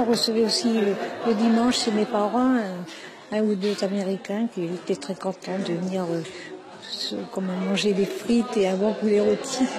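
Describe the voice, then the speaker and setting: Over crowd noise and audible room echo, a woman with a medium-pitched voice speaks at a moderate pace with fairly even intonation. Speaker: elderly resident recalling childhood. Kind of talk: interview testimony. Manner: halting, many hesitations.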